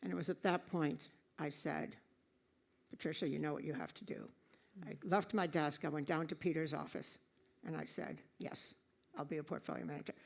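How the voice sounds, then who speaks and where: A woman with a very deep, low pitch and vocal fry talks at a fairly quick pace, broken by long, frequent pauses. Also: lively intonation. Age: 70s. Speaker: retired investment executive and author. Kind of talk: public interview conversation. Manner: halting, many fillers and repeats.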